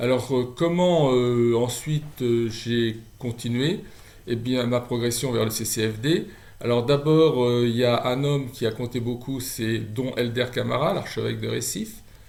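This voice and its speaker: In a room with audible echo, a man of medium pitch speaks at a fairly slow pace with ordinary pitch variation. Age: 60s. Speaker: charity volunteer. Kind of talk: testimony. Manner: halting.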